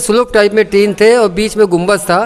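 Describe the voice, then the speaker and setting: Here a man speaks at a high pitch. There is noticeable background noise. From India, local neighbourhood of the temple. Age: 60s. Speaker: temple committee president. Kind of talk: interview, oral history. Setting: at a temple.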